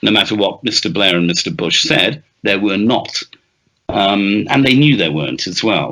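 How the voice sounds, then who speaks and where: A man with a Welsh accent, fairly low in pitch, lively in intonation and moderate in pace. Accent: Welsh-tinged British English. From Wales. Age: 60s. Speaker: author and journalist. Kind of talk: interview.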